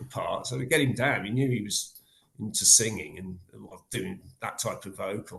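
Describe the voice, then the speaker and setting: Speaking with an English accent, a man uses a medium pitch, a moderate pace, ordinary pitch variation and a somewhat breathy delivery. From England. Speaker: death metal guitarist and vocalist. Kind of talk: interview. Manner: halting.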